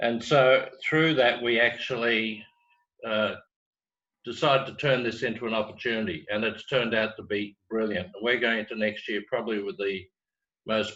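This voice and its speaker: An Australian-accented man speaks at a moderate pace and a medium pitch. His tone is bright and sharp, with ordinary pitch variation. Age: 60s. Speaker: business training executive. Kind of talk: webinar talk.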